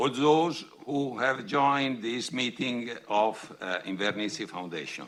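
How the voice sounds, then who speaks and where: With an Italian accent, a man speaks at medium pitch in a bright, sharp tone with ordinary pitch variation. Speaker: foundation president and professor. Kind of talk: reading a prepared speech. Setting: podium at public event. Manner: halting.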